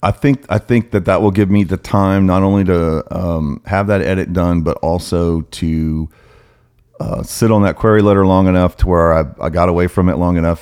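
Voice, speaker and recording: A man talks at a fairly quick pace. His pitch is very deep and low, with ordinary variation. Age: 40s. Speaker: author and judge. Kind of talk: casual chat. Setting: home studio. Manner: loud.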